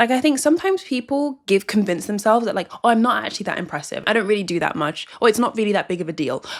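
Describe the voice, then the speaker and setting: Over noticeable background noise, a woman with a fairly high pitch races along at a very fast pace, her voice making very wide pitch swings with hardly any pauses. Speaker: self-help youtuber. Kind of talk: casual talking-head advice video. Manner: chatty, filler-heavy.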